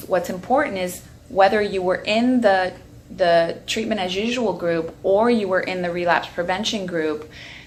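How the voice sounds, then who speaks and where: Noticeable background noise and audible room echo surround a woman who speaks at a moderate pace in an American accent. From Long Island, New York. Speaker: addiction therapist and researcher. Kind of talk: educational talk to camera. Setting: outdoors on back patio.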